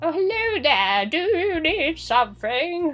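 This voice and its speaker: In a put-on character voice of extremely high pitch, the speaker moves fairly slowly with very wide pitch swings over light background noise. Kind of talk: polite, greeting a customer.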